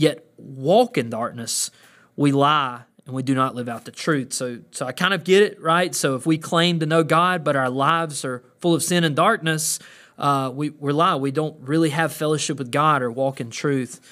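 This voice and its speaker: A man with a Southern US accent speaks at a moderate pace. His pitch is fairly high with ordinary variation, on a very clean recording with a silent background. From US South (Georgia). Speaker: pastor. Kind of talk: podcast monologue. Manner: halting, many filler words.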